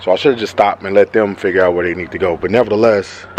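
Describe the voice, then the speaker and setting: Background noise is noticeable throughout. The man keeps his intonation fairly even. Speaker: car vlogger. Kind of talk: casual vlog. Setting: outdoors then in a truck. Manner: fast.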